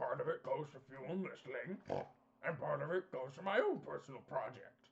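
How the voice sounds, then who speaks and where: Using a put-on character voice, a man talks in a raspy tone at a moderate pace. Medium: actual play. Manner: glib, salesmanlike, chummy.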